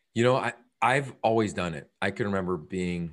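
With an American accent and a normal speaking voice, a man talks at a fairly quick pace and a fairly low pitch against a quiet background. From Pennsylvania, small town. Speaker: football broadcaster and storyteller. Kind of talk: casual interview.

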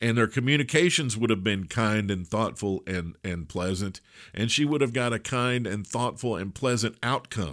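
A man speaks at a medium pitch with lively intonation. His tone is bright and sharp. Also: very clean recording, silent background. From Kentucky. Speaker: podcast host and business coach. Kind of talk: interview and commentary. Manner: trained, projected from diaphragm.

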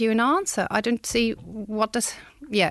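Speaking at a fairly quick pace, a woman has a non-native accent. The sound is dry and close with no echo, over a quiet background. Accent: foreign-accented English. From outside Australia. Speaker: bereaved parent. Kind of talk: testimony. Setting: studio.

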